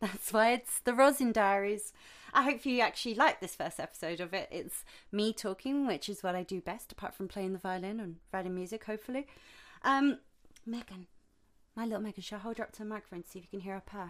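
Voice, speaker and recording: In a British accent, a woman speaks at a very fast pace with a medium pitch and ordinary pitch variation. Her loudness swings widely, and the recording is very clean with a silent background. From UK. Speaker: violinist and composer podcaster. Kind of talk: casual solo podcast monologue. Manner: chatty, rambling, informal.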